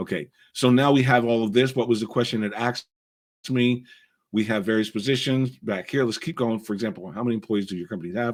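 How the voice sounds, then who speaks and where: A man's medium-pitched voice races along at a very fast pace, its pitch varying in an ordinary way. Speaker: business coach, tech tutorial creator. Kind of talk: screen-share tutorial. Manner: casual, conversational.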